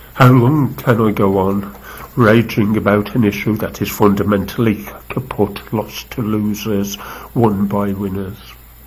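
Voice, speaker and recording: Against noticeable background noise, a man with a fairly low pitch speaks with ordinary pitch variation. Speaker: activist poet. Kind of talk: poetry reading. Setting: live video stream.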